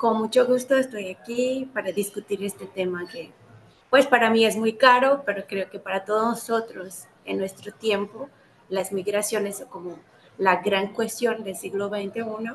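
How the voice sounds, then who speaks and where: A woman's voice at a fairly slow pace, with fairly even intonation and big swings in loudness. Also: fairly high pitch for a woman. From Brazil. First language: Portuguese (speaking Spanish). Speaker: anthropologist, doctoral student. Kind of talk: interview.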